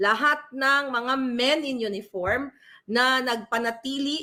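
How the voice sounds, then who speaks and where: In a high pitch, a woman speaks with a bright, sharp tone and ordinary pitch variation. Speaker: political vlogger / commentator. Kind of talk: angry rant. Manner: loud, furious, insulting tirade aimed at named politicians; urgent, emphatic, addressing listeners directly.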